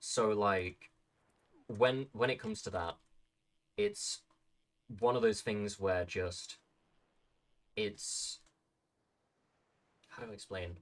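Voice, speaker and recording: The speaker has a British accent and a very slow pace. Long pauses come often. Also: man. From Britain. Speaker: livestreamer. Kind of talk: casual chat. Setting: live stream. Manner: halting, many fillers and repeats.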